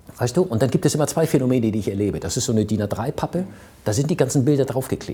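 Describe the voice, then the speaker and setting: A man's somewhat breathy voice with a dark, mellow tone and lively intonation. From Hamburg, northern Germany. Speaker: entrepreneur and business consultant. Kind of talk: interview. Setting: office overlooking harbour.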